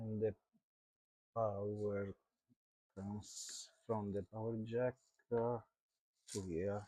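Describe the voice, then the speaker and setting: A man speaks very slowly in a dark, mellow, fairly low voice with monotone, flat intonation and long, frequent pauses. The sound is dry and close, with no echo. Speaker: electronics repair youtuber. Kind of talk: live stream repair diagnosis. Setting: live stream. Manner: halting, many fillers. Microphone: low volume, USB hub issues.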